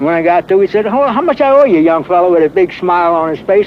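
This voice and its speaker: A man talks at a fairly quick pace with a high pitch and very wide pitch swings. Noticeable background noise runs under his voice. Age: 70s. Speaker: elderly resident recalling neighborhood history. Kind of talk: oral history interview. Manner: halting, with many fillers.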